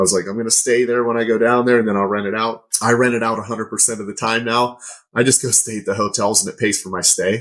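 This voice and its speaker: Speaking at a very fast pace with an American accent, a man keeps a monotone, flat intonation at medium pitch. The recording is very clean, with a silent background. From Pittsburgh, Pennsylvania. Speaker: real estate investor. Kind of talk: casual interview chat.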